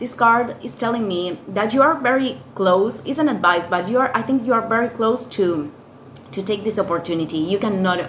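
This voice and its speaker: A woman with a non-native accent speaks at a moderate pace with lively intonation. Audible room echo and noticeable background noise surround her voice. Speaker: tarot reader. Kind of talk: tarot reading. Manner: halting, many fillers and repetitions.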